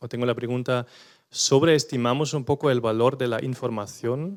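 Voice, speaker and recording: With a non-native accent, a man talks in fairly even intonation. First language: not Spanish (speaking Spanish). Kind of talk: panel discussion contribution. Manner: hesitant.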